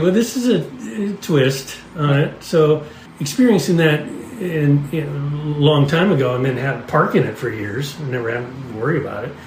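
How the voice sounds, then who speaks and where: Amid noticeable background noise and audible room echo, a man speaks at a moderate pace in a fairly high pitch with lively intonation. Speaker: podcast host. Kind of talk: casual storytelling chat. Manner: halting, with frequent restarts.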